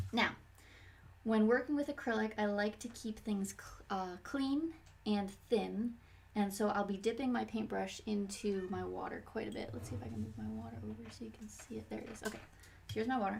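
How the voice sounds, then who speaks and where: A soft-spoken voice at a fairly quick pace. Noticeable background noise runs underneath. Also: woman. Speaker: painting teacher. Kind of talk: tutorial. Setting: live stream at home. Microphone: quiet, volume turned up high.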